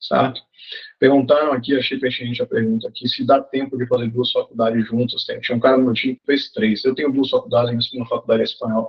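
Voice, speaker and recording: Very fast delivery with big swings in loudness. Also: man. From Brazil, Salvador (Bahia). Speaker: college sports consultant. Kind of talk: masterclass talk. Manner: casual, conversational.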